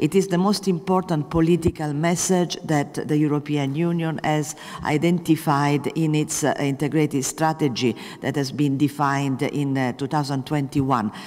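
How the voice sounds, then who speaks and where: Noticeable background noise fills the clip. The talking goes at a moderate speed. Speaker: EU special envoy for the Sahel. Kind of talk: panel debate talk. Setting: public debate with audience. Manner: hesitant, many fillers.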